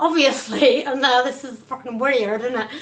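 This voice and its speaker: Bright and sharp in tone, a woman speaks at a high pitch in a Cornish accent, with ordinary pitch variation. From Cornwall, England. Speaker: stand-up comedian. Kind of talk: stand-up.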